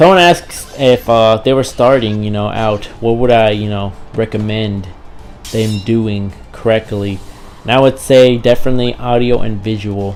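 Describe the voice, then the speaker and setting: A man speaks at a moderate pace with fairly even intonation. Music plays behind him. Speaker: gaming YouTuber. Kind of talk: casual vlog talk to viewers. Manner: repetitive, many fillers.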